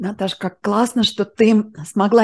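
Her intonation stays fairly even. The speaker is a woman. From Moscow, Russia; Russia. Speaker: interviewer, channel host. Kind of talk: interview. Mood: warm, encouraging. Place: home room. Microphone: video call.

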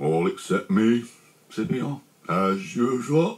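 Lively intonation in plain reading aloud

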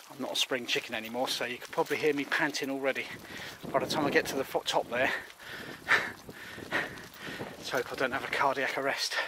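With noticeable background noise but a dry sound with no echo, a man speaks very fast in a monotone, flat intonation. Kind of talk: casual vlog chat. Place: open country. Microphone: phone near.

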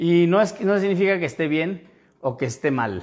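The man's pitch is fairly high with ordinary variation, and he talks at a fairly quick pace. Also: quiet background. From Veracruz, Mexico. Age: 30s. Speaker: photographer and photography instructor; photography instructor. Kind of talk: livestream tutorial. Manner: casual, conversational. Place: home room. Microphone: lapel.

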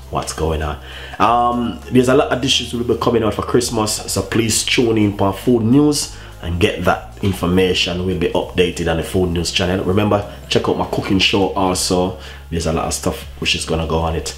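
A man speaks in a very deep, low voice with lively intonation. His pace is moderate, and light background noise can be heard. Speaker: cooking channel host. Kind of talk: casual vlog chat. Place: kitchen. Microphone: camera far.

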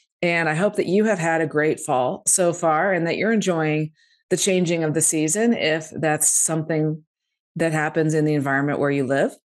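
Here a woman speaks at a moderate pace with a very deep, low pitch and ordinary pitch variation. Her loudness stays very even against a quiet background. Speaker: podcast host. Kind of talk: casual interview. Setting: video call. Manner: animated. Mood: warm, upbeat. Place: home room. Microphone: studio mic.

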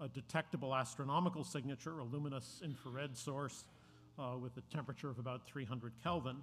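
A man's somewhat breathy voice, fairly quick in pace, with ordinary pitch variation. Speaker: speaker. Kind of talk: introductory talk. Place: hall. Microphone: podium.

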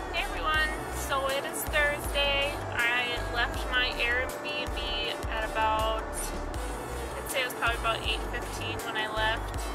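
Loud music plays in the background as a woman speaks at a fairly slow pace, the sound dry with no echo. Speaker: vlogger on a road trip. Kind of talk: casual vlog chat. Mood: mildly annoyed, chatty. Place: car. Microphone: phone near.

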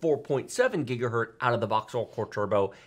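A man speaks, his pitch rising and falling in an ordinary way. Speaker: tech channel host. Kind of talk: podcast commentary. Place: studio.

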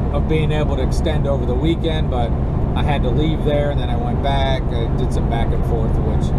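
Loud background noise fills the recording. Through it, a man talks at a fairly quick pace. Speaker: road-trip vlogger driving. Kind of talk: casual vlog chat. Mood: relaxed, joking. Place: car. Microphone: camera far.

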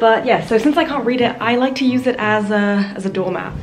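A woman speaks with a Southern English accent at a moderate pace. Faint music plays in the background. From Hertfordshire, England. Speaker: student. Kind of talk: casual vlog talk to camera.

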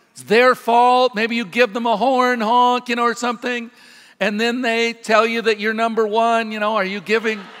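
Monotone, flat intonation with big swings in loudness over music in the background. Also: man, extremely high pitch for a man, moderate pace. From US Pacific Northwest (Washington state). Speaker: pastor. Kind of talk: sermon. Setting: church. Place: church.

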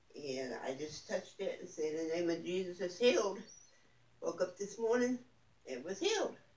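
Audible room echo surrounds a woman's voice. She talks at a moderate pace with lively intonation. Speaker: church member giving testimony. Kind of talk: testimony. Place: home room. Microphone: phone near.

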